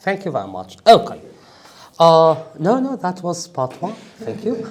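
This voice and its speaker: A man with a high voice talks at a moderate pace, his intonation lively and his loudness swinging widely. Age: 40s. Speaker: IELTS trainer. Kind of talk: lecture; mock speaking test. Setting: workshop with audience.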